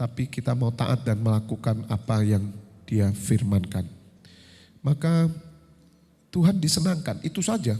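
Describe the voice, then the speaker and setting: A man with a medium pitch and a dark, mellow tone sounds somewhat breathy, with lively intonation. He leaves long, frequent pauses in a very clean recording with a silent background. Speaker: pastor. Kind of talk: sermon.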